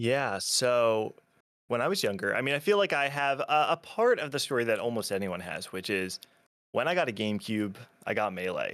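With an American accent, a man in an unremarkable speaking voice talks at a moderate pace and medium pitch with lively intonation, in a very clean recording with a silent background. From New Jersey, US. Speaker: video creator and documentary maker in the melee scene. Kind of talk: casual interview chat.

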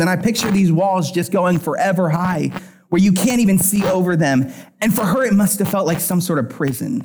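A man with a high voice speaks at a moderate pace in an animated tone, with audible echo in the room. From Pennsylvania. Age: 30s. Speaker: worship pastor. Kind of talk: sermon.

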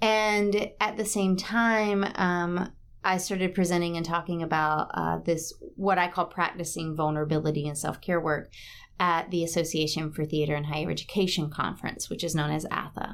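With an American accent, a plain, everyday voice moves at a moderate pace with fairly even intonation. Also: woman, fairly low pitch for a woman. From South Carolina (Batesburg-Leesville). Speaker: theatre professor and actor. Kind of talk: interview.

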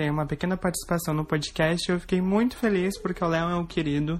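A woman talks at a fairly quick pace in a fairly low pitch. Hers is an unremarkable speaking voice. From southern Brazil, Igrejinha (Rio Grande do Sul). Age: 20s. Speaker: performer and singer. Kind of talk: recorded testimony.

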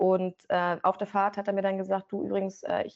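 This woman talks fairly quickly. Her voice has a medium pitch. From Brandenburg, Germany (Rangsdorf, south of Berlin). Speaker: sports presenter. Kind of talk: interview.

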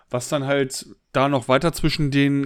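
The recording is very clean, with a silent background. A man with a fairly high pitch speaks in a plain, everyday voice. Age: 30s. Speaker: podcast co-host. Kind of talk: casual chat.

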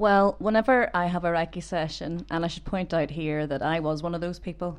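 At a moderate pace, a woman speaks with a Northern Irish accent. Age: 30s. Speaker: cancer patient and Reiki master. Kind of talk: personal testimony interview. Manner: hesitant.

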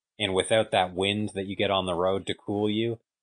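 At a fairly quick pace comes a plain, everyday voice, recorded with a dry, close sound with no echo over a quiet background. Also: man. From Canada. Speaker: professional cyclist and coach. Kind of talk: interview.

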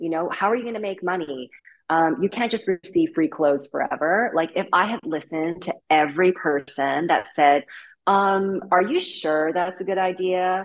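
Here is an ordinary speaking voice from a woman, at medium pitch with ordinary pitch variation. She keeps a moderate pace. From Vancouver, Canada. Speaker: fashion content creator. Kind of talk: interview.

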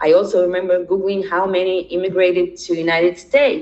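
A woman speaks with a Russian accent at a fairly low pitch, with noticeable background noise. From Israel, born in Ukraine. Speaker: documentary participant, immigrant. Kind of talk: interview. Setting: remote call from Israel.

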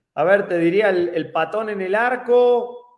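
A man's voice comes through with audible room echo around it. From Argentina, Casilda near Rosario. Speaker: retired football striker. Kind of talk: interview.

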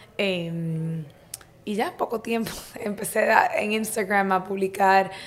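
Noticeable background noise sits behind the speaker. She is a woman with a medium pitch and fairly even intonation. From Dominican Republic, Santo Domingo. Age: 20s. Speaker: entrepreneur and health coach. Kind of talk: casual interview.

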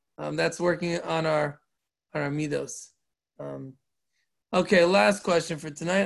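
This man has a fairly high pitch and ordinary pitch variation. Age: 40s. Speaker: rabbi and Torah teacher. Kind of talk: Torah class. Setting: online group call. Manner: halting.

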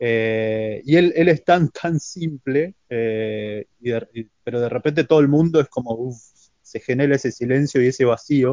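A plain, everyday voice: a man at a fairly slow pace, medium in pitch, with ordinary pitch variation. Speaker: martial arts practitioner. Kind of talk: casual chat.

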